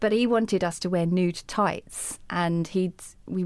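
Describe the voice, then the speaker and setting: In a southern English accent, a woman speaks with fairly low pitch and fairly even intonation. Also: very clean recording, silent background. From England, Hertfordshire. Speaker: anti-racism educator and life coach. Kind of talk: interview.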